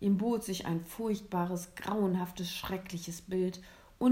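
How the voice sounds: The speaker uses a natural reading voice.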